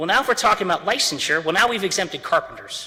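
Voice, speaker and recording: Lively intonation marks this man's speech. Noticeable background noise runs underneath. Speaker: attorney. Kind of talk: courtroom oral argument. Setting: courtroom. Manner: fast.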